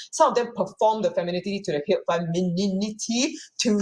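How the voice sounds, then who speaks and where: Her voice comes across as somewhat breathy. The speaker is a woman. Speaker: playwright and performer. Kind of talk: panel discussion. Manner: fast; halting.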